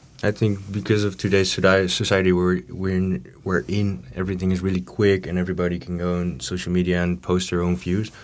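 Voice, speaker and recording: A man with a Dutch accent talks at a fairly quick pace with hardly any pauses, very deep, low pitch and fairly even intonation. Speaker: student politician. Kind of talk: panel discussion. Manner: halting.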